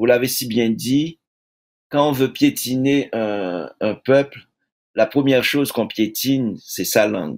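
A man speaks at a very slow pace with a medium pitch and ordinary pitch variation against a quiet background. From Haiti. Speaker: poet and publisher; poet. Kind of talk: interview. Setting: video call. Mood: earnest, reflective. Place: home room.

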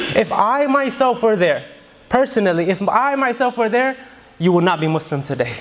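A man at a moderate pace, with lively intonation. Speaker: preacher. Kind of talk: sermon. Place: church. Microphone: studio mic.

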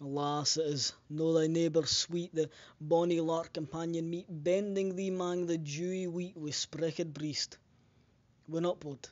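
Speaking with a Scottish accent, a man holds a high pitch at a fairly slow pace in a monotone, flat intonation. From Scotland. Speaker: poetry reader. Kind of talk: poetry reading in Scots dialect.

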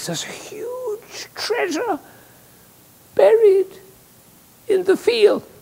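A put-on character voice at an extremely high pitch moves at a very slow pace, broken by long, frequent pauses.

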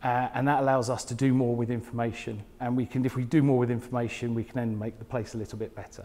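Delivered at a very fast pace, a man's monotone, flat speech carries a southern English accent. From southern England, Portsmouth area; southern England. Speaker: smart cities technologist; conference presenter. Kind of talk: conference talk. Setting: stage with audience. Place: hall. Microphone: lapel.

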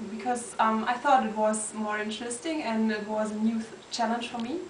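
A woman with a German accent speaks at a fairly high pitch. The room echoes audibly over light background noise. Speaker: student organization board member. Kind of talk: recorded video greeting. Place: office. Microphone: webcam.

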